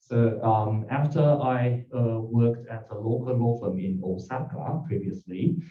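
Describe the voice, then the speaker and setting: Speaking fairly slowly at a medium pitch, a man sounds somewhat breathy, with audible room echo around him. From Japan, Tokyo. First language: Japanese. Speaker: lawyer. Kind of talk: self-introduction pitch. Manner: halting.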